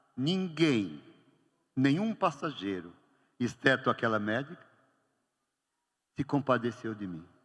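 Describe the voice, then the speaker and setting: Leaving long, frequent pauses, a man with a medium pitch speaks at a very slow pace, with very wide pitch swings and big swings in loudness. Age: 70s. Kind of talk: homily. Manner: animated storytelling.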